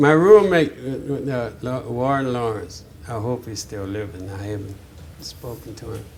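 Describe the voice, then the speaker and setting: Speaking fairly slowly at a medium pitch, a man with a New Orleans accent is heard amid noticeable background noise and audible room echo. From New Orleans, Louisiana (Sixth Ward). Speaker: jazz drummer. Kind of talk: oral history interview. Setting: interview at a music venue. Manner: halting, with frequent fillers and restarts.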